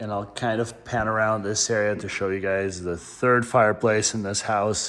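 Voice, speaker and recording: The man's voice sits fairly low and keeps a monotone, flat intonation. He talks at a moderate pace. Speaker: real estate agent giving home tour. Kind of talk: home tour walkthrough narration. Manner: casual, conversational.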